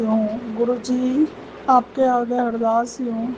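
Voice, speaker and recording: Noticeable background noise accompanies a woman whose pitch is fairly high. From Punjab. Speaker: devotee sharing testimony. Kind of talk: devotional testimony. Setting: at home before altar, night.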